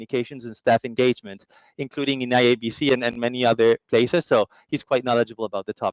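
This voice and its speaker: Very fast speech with a Latin American accent and fairly even intonation, dry and close with no echo. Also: man. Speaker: customer strategy lead and former journalist. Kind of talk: webinar presentation. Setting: online summit.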